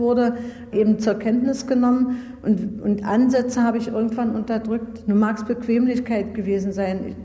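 A woman speaks at a moderate pace with a fairly high pitch. Audible room echo and noticeable background noise fill the recording. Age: 40s. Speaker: former judge. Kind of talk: interview. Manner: halting.

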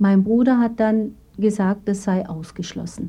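The voice is somewhat breathy, with ordinary pitch variation. Delivery comes at a fairly slow pace. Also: woman. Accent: Turkish. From Turkey, moved to Baden-Württemberg at 12. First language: Turkish (speaking German). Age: 40s. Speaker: gynecologist. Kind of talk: interview testimony.

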